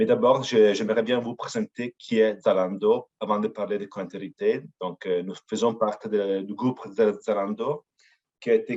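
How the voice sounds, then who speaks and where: In an Italian accent, a man speaks at a fairly slow pace with a dark, mellow tone, ordinary pitch variation and a dry, close sound with no echo. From Italy. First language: Italian (speaking French). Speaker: company representative. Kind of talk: webinar presentation. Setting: online webinar. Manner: hesitant, frequent fillers.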